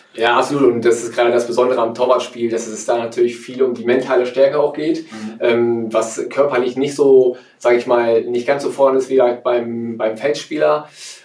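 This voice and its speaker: Over noticeable background noise, a man at a medium pitch talks with hardly any pauses. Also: fairly even intonation, fairly quick pace. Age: 30s. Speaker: former pro goalkeeper. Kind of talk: interview.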